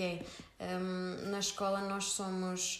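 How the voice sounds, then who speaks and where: A woman speaks with a European Portuguese accent. The room echo is audible. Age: 20s. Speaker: optometrist and small business founder. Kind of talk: casual interview.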